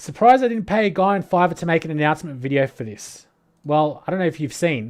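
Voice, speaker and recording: A man with an Australian accent and lively intonation. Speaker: crypto commentator livestreamer. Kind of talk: livestream commentary.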